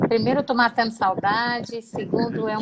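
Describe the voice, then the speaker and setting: Against noticeable background noise, a woman with a strong Minas Gerais accent speaks at a moderate pace and a fairly high pitch. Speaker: occupational therapist and course teacher. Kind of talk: live video interview. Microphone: some echo.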